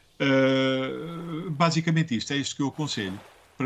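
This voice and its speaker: This man has a fairly high pitch and ordinary pitch variation. He talks at a moderate pace over noticeable background noise. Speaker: schoolteacher. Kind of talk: interview. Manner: hesitant, many fillers.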